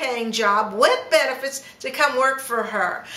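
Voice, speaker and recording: A woman's high, raised and projected voice at a fairly slow pace with ordinary pitch variation, audible room echo and noticeable background noise. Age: 60s. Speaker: travel agent. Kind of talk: casual chat. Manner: animated.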